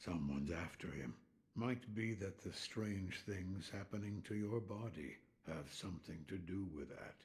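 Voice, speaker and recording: Using a put-on character voice, a man speaks with a very deep, low pitch. His pace is moderate and his pitch variation ordinary. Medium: video game. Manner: terse, dry.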